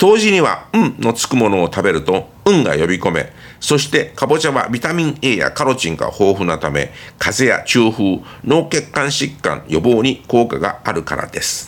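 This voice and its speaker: At a medium pitch and moderate pace, a man speaks with vocal fry and very wide pitch swings. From Taiwan. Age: old. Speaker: language teacher. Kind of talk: reading aloud.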